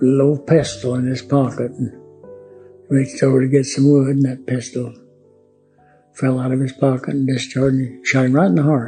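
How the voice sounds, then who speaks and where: The speaker has an Oklahoma accent and a monotone, flat intonation. Long pauses come often, with music playing in the background. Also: man. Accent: Oklahoma, Southern US. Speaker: World War II Navy veteran. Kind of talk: interview answer.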